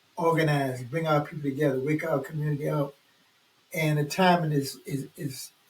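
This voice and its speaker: A somewhat breathy man with an American accent, fairly high pitch for a man, monotone, flat intonation and a moderate pace. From US South, New Orleans, Louisiana. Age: 80s+. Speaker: community organizer. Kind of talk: casual chat.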